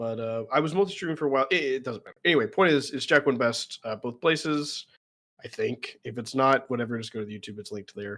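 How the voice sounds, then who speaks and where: A man with a slight Southern US accent at a very fast pace, medium pitch with ordinary pitch variation, a bright, sharp tone and big swings in loudness. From US South. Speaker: streamer, content creator. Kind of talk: casual chat. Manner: talkative.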